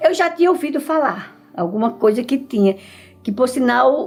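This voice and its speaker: A woman is speaking. Her intonation is lively. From Alagoas, northeastern Brazil (Mata Grande). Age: 70s. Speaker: retired teacher and school principal. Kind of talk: documentary interview.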